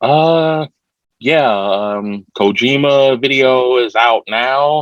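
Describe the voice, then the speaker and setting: A man with an American accent at a medium pitch, speaking at a very slow pace with ordinary pitch variation. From Ohio, Youngstown. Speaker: rapper. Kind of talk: interview. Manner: over-enunciates words.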